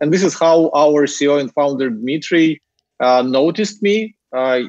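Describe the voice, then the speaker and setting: With a Ukrainian accent, a man speaks at a moderate pace in a fairly high pitch, showing ordinary pitch variation and very even loudness. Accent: Ukrainian accent, noticeable. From Ukraine. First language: Ukrainian or Russian. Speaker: marketing executive. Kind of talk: interview conversation. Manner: hesitant with fillers.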